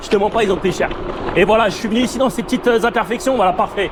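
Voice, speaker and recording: A man talks loudly at a very fast pace, his pitch high. Noticeable background noise sits behind him. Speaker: electric scooter reviewer. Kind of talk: casual ride commentary. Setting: outdoors riding a scooter. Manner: casual, hesitant.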